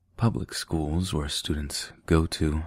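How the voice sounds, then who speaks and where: A man's very deep, low voice, soothing and somewhat breathy, at a very slow pace. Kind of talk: ASMR sleep reading, casual commentary. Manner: soft-spoken, soothing.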